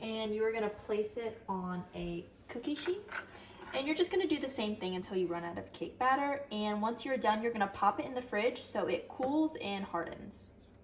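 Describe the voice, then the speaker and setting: With an upbeat tone and lively intonation, a woman speaks at a moderate pace in a fairly high pitch, with noticeable background noise behind her. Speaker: student giving a how-to demo. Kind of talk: tutorial. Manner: soft-spoken; casual, upbeat.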